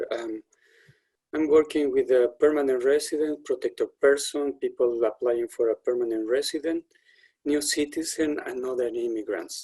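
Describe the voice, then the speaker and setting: With a Spanish accent, a man speaks at a moderate pace in a dry, close sound with no echo. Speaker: settlement worker. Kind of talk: webinar introduction.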